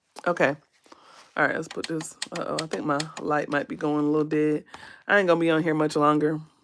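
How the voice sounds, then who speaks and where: Over a silent background in a very clean recording, a woman speaks very fast in a very deep, low voice with monotone, flat intonation and long, frequent pauses. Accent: American. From US South, South Carolina. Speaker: beauty content creator. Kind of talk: livestream makeup tutorial, casual. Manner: casual, hesitant with fillers.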